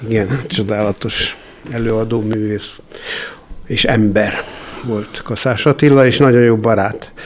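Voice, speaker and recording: Over noticeable background noise, a man with a medium pitch speaks very slowly and with fairly even intonation, pausing often and at length. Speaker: composer and theatre founder. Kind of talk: interview.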